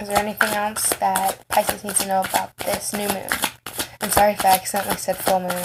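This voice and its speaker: Soft-spoken and monotone, a woman speaks very fast at a medium pitch with flat intonation. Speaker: tarot reader. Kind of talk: tarot reading. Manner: quiet, soft-spoken.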